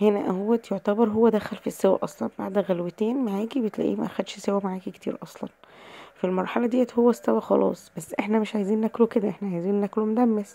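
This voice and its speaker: Against noticeable background noise, a woman talks at a fairly quick pace and medium pitch, with fairly even intonation and hardly any pauses. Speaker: cooking channel host. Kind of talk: cooking tutorial.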